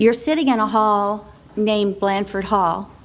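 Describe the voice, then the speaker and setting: Amid audible room echo, a woman speaks at a medium pitch with fairly even intonation. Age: 60s. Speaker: state representative candidate. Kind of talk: debate opening statement. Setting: public forum hall.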